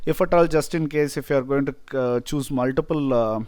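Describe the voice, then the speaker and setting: The recording is very clean, with a silent background. A man with a Tamil accent speaks at a medium pitch. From India, Tamil-speaking. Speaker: software tutorial presenter. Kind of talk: tutorial. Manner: hesitant, many fillers.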